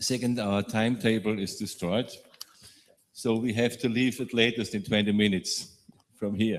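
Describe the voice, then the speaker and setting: This man has a medium-pitched voice and a German accent. He speaks at a moderate pace with fairly even intonation. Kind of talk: panel discussion.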